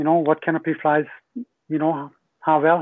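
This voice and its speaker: A man speaks with a Hungarian accent. His pitch is fairly high. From Hungary. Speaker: skydiving company general manager. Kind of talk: casual interview. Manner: halting, many filler words.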